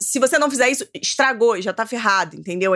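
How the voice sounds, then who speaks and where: A woman with a plain, everyday voice speaks at a fairly high pitch with lively intonation, in a dry, close sound with no echo. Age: 30s. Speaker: writer. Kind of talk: casual chat.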